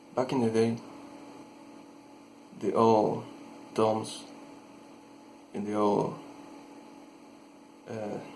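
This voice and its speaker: Very slowly and with long, frequent pauses, a man speaks at a medium pitch in a monotone, flat intonation. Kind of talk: horror story narration. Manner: hesitant, halting.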